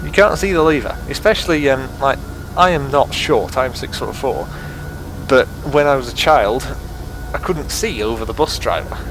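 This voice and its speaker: At a moderate pace and with long, frequent pauses, a man talks with an English accent amid noticeable background noise and audible room echo. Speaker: sim racing gamer. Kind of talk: gameplay commentary. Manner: rambling casual.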